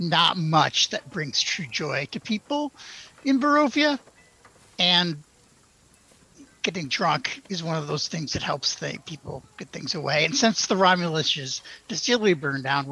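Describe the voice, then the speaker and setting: Putting on a raspy character voice, a man speaks at a moderate pace with high pitch and lively intonation, leaving long, frequent pauses. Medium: actual play.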